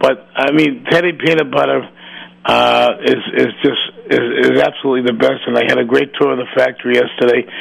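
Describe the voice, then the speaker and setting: Noticeable background noise sits behind the speech. A man talks at a fairly quick pace. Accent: American. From Massachusetts. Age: 70s. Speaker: radio talk show host. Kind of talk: radio interview show. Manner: rambling, repetitive.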